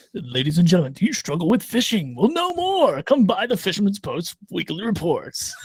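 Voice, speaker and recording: A man's put-on character voice, high-pitched and at a fairly quick pace. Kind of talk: advertising pitch. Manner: cheesy, salesy.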